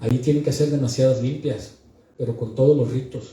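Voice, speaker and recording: With a northern Mexican accent, a man talks at a fairly quick pace in a somewhat breathy voice of medium pitch and a dark, mellow tone, with audible room echo. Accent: northern Mexican, blunt delivery. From northern Mexico. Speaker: book presenter. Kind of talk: book presentation speech. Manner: blunt, forceful.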